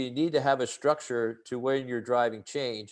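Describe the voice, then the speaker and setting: A man with an American accent speaks in a normal speaking voice at a moderate pace. His intonation is fairly even against a quiet background. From United States. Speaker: leadership trainer. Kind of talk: webinar presentation. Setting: online webinar with chat.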